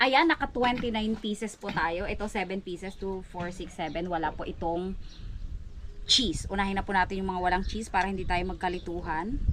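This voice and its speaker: Soft-spoken and at a medium pitch, a woman talks at a fairly quick pace with ordinary pitch variation. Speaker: vlogger. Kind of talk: cooking tutorial. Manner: casual, chatty; soft voice.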